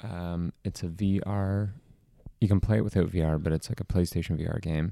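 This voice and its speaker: A man speaks quietly in a very deep, low voice with a dark, mellow tone. His intonation is fairly even, and the sound is dry and close with no echo. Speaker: podcast co-host. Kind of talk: casual chat. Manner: quiet, close to the mic.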